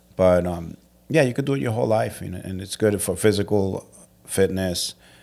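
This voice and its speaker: A man's very deep, low voice with a dark, mellow tone and an American accent, at a fairly quick pace on a very clean recording with a silent background. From New York City (Brooklyn). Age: 50s. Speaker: martial arts instructor. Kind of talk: casual chat.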